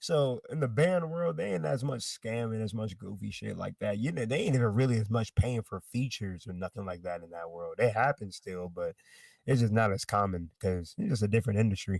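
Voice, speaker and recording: An unremarkable speaking voice from a man with an American accent, fairly low in pitch, with lively intonation at a fairly quick pace and hardly any pauses, in a very clean recording with a silent background and a dry, close sound with no echo. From US South. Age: 20s. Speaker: rapper. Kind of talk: casual interview.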